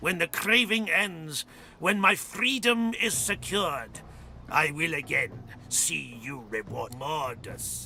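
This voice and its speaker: A man in a put-on character voice talks at a fairly slow pace over clear background noise. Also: fairly high pitch for a man. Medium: video game. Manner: hungry, sinister, mocking.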